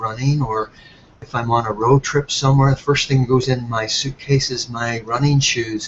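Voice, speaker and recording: A man's somewhat breathy voice with fairly even intonation. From Ireland. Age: 60s. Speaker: health product entrepreneur. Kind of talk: webinar presentation.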